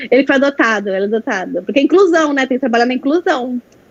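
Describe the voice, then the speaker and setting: Talking at a very fast pace, a woman with a high pitch uses lively intonation. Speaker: veterinarian presenting a workshop. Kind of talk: online training presentation.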